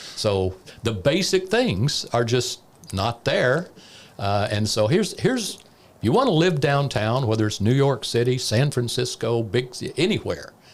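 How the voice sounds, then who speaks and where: A man's ordinary speaking voice, medium in pitch, with lively intonation at a fairly slow pace. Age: 60s. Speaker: former economic development director. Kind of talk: casual chat.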